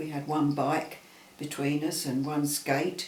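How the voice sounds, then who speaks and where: A fairly high-pitched man is heard with audible room echo. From Southeast London. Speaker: interviewee recalling childhood. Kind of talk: casual chat. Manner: halting.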